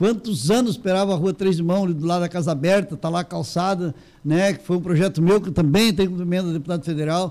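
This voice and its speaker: Speaking at a very fast pace, a man uses a high pitch and a dark, mellow tone with fairly even intonation. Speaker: local politician. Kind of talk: interview.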